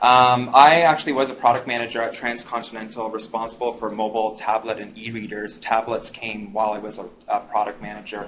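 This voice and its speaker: Speaking at a very fast pace, a man uses a monotone, flat intonation at a medium pitch. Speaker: digital media expert, app business speaker. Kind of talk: presentation to live audience.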